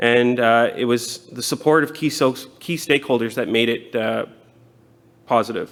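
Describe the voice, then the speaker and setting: In a Canadian accent, a man with a plain, everyday voice talks at a moderate pace and medium pitch, his intonation fairly even. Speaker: city transit manager. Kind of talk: conference presentation.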